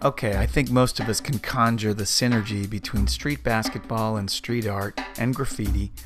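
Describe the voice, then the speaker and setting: A man at a moderate pace, ordinary pitch variation, music in the background. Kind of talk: podcast host narration.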